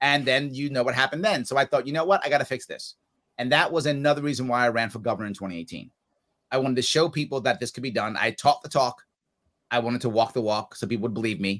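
In a New York accent, the speaker talks very fast with ordinary pitch variation. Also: man, medium pitch for a man. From New York City area. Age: 50s. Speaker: political candidate. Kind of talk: interview. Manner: animated.

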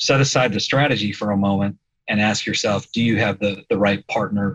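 With a Midwestern US accent, a man talks at a moderate pace in a fairly low pitch. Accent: US Midwest. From Indiana, Fort Wayne. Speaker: insurance investment executive. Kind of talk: podcast interview.

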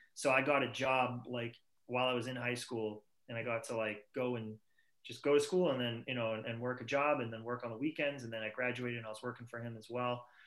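A man speaks very fast with a Boston accent. His medium-pitched voice stays monotone and flat. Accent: Boston-area New England. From Massachusetts. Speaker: rock band singer. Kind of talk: casual interview chat. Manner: talkative, rambling.

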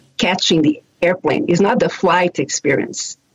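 A woman talks with a slight Brazilian accent. Her pitch swings very widely. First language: Portuguese. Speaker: airline sales director. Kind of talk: panel talk.

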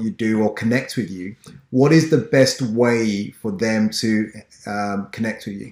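The man speaks with an English accent. His pace is fairly slow, and his pitch varies in an ordinary way. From Ghana. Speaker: podcast host. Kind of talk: interview.

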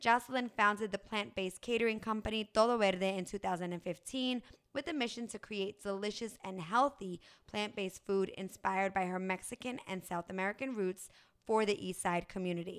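Using a plain, everyday voice, a woman talks at a fairly quick pace and a medium pitch with ordinary pitch variation. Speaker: podcast host. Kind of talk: casual interview.

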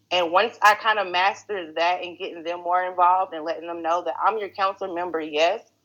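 A woman talks in a Texan accent. Her pitch is medium and her pace moderate. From Texas, Greenville. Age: 30s. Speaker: political candidate and council member. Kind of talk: interview.

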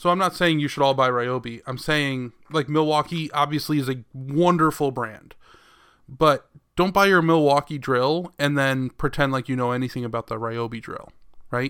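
A man speaks in an ordinary speaking voice, his pitch fairly high and its variation ordinary, at a moderate pace. The recording is very clean, with a silent background. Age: 30s. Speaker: podcast co-host. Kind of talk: casual chat.

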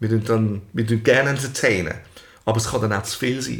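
This man's words come out very rapidly. He keeps his intonation fairly level. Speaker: podcast co-host and entertainer. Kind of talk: casual chat. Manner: fast.

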